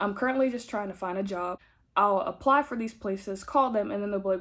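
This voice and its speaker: A woman speaks at a medium pitch. The recording is very clean, and the background is silent. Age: 20s. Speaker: vlogger, college student. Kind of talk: casual vlog chat. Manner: fast; words run together.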